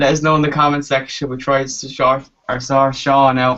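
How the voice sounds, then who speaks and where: In an Irish accent, a man speaks at a fairly slow pace. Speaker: football fan show host. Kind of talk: casual panel chat.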